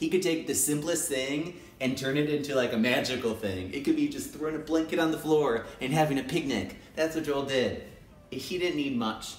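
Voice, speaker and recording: Audible room echo surrounds a man's fairly high pitch. He speaks at a moderate pace with ordinary pitch variation. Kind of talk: casual talk to camera. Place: home room. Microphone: phone near.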